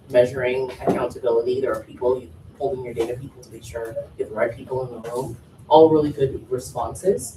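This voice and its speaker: Speech moves at a fairly quick pace over noticeable background noise. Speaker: workshop facilitator. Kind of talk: workshop facilitation. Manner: fast.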